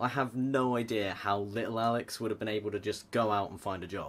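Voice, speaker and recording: A man talks fairly quickly in a British accent. His intonation is fairly even. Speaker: vlogger. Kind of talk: personal vlog. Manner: casual, self-deprecating.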